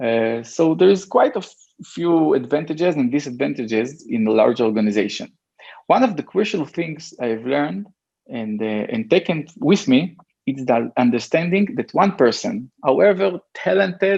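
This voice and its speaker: A man with an Israeli accent talks at a moderate pace. His fairly high pitch swings very widely. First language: Hebrew. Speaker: e-commerce entrepreneur. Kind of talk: interview. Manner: halting.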